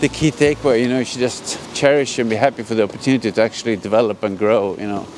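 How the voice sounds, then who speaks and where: A man's very fast speech with a Swedish accent, medium pitch, ordinary pitch variation and hardly any pauses, over noticeable background noise. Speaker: vlogger. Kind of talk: casual vlog monologue. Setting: outdoors.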